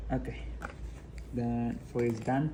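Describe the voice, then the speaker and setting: Audible room echo surrounds a man speaking at a fairly slow pace and a medium pitch. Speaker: english test candidate streaming practice. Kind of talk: reading aloud practice mixed with casual talk. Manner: repetitive, self-correcting.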